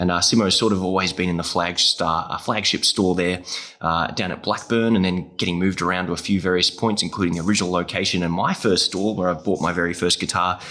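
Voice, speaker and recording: With a very deep, low pitch and a bright, sharp tone, a man talks at a very fast pace in a monotone, flat intonation with hardly any pauses. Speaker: podcast host, music teaching educator. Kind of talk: casual interview chat.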